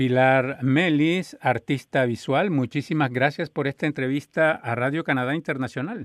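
A man with an ordinary speaking voice, fairly high in pitch, with ordinary pitch variation, a moderate pace and hardly any pauses. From Colombia. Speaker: radio host. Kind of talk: interview.

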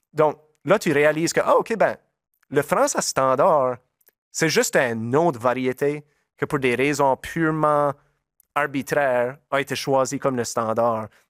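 A man with a Nova Scotia Acadian accent speaks at a fairly slow pace with long, frequent pauses, fairly high pitch, and ordinary pitch variation. The sound is dry and close with no echo, on a very clean recording with a silent background. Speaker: musician. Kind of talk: interview. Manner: halting.

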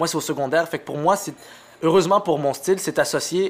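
This man speaks with an Arabic accent and ordinary pitch variation. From Montreal, Quebec. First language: Arabic (speaking French). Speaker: comedian. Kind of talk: casual chat.

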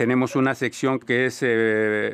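Against a quiet background, a man talks at a very slow pace in a monotone, flat way. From Colombia. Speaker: radio host. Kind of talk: radio panel discussion. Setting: studio.

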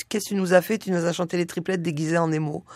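This is an unremarkable speaking voice from a woman. She moves at a fairly quick pace with fairly even intonation. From southern France, Nice. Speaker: singer and musician. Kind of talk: radio interview.

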